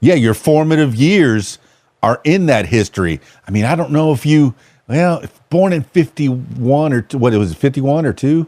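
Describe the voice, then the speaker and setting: In an American accent, a man talks with a fairly high pitch, lively intonation and a dark, mellow tone. The sound is dry and close, with no echo. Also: moderate pace. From South Florida. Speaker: podcast host and DJ. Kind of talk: casual interview. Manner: animated, halting with repetitions.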